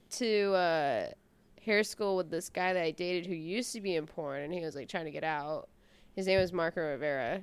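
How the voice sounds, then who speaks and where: A woman with an American accent and a normal speaking voice talks at a fairly quick pace, with medium pitch and ordinary pitch variation. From US Midwest, Omaha, Nebraska. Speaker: adult film performer. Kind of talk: casual chat.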